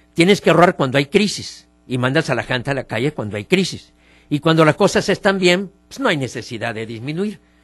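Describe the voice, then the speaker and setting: Very wide pitch swings at a fairly quick pace, a dry, close sound with no echo, and music in the background. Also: man, fairly high pitch for a man. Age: 70s. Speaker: politician and political commentator. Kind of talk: radio opinion interview.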